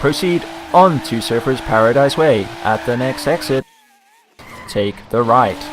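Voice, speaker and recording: A man puts on a robotic character voice at medium pitch. He delivers it at a fairly slow pace with long, frequent pauses. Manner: robotic, flat, instructing.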